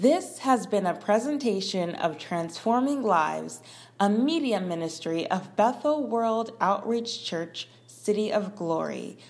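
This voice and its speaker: The speech moves at a fairly slow pace, with lively intonation. It's a normal speaking voice. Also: woman, medium pitch for a woman. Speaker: ministry announcer. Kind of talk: scripted announcement.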